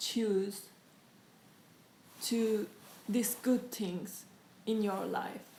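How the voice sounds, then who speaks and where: A woman's fairly high voice with a non-native accent and fairly even intonation, amid audible room echo. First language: not English. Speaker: interviewee sharing life story. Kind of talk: interview. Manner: halting.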